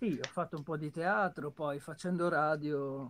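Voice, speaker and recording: A man with a plain, everyday voice, fairly high pitch, ordinary pitch variation and a fairly slow pace. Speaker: voice actor and dubber. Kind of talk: casual chat. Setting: video call. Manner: clear trained diction. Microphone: too quiet.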